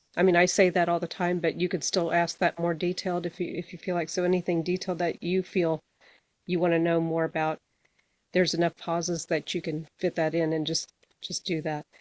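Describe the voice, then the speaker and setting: Against a quiet background, a woman talks at a fairly quick pace with fairly low pitch and monotone, flat intonation, the sound dry and close with no echo. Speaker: spiritual healing workshop leader. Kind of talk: workshop instructions before guided practice. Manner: halting, many repetitions and fillers.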